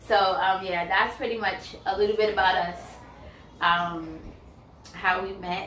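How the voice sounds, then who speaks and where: A woman with an American accent, a fairly slow pace, long and frequent pauses and fairly even intonation, amid noticeable background noise and audible room echo. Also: medium pitch for a woman. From New York, the Bronx. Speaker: YouTuber, counselor. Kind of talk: casual Q&A chat. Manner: conversational, filler-heavy.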